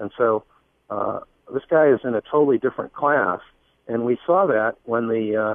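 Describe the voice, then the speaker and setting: Medium in pitch, a man's voice shifts with ordinary variation. He uses a normal speaking voice at a moderate speed. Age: 50s. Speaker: political campaign organizer. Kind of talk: radio interview.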